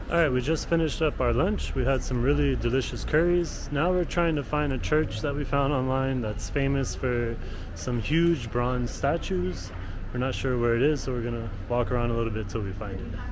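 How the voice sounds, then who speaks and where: A man talks at a moderate pace over noticeable background noise, with audible echo in the room. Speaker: travel vlogger. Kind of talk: casual vlog narration. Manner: whispering in chapel.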